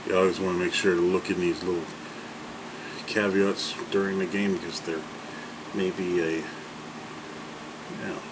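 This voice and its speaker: A man's very deep, low voice, monotone and flat, at a moderate pace with long, frequent pauses, audible room echo, and noticeable background noise. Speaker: video game commentator. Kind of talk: gameplay commentary. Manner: casual, filler-heavy; trying not to shout. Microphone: far from the mic, may be too quiet.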